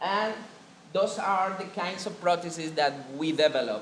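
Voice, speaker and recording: Speaking with a Spanish accent at a high pitch, a man uses ordinary pitch variation amid noticeable background noise and audible room echo. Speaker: biomedical engineer presenting at a conference. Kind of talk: conference presentation. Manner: halting.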